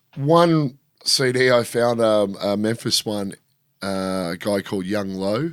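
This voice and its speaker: A man with an Australian accent speaks very slowly in a fairly low voice. The recording is very clean, with a silent background. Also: ordinary pitch variation. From Australia, rural Victoria (Shepparton). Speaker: DJ and film crew worker. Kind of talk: casual chat. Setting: studio.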